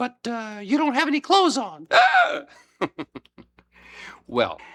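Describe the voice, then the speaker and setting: A man speaks at a fairly slow pace, the sound dry and close with no echo. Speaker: puppeteer. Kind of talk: instructional presentation for children.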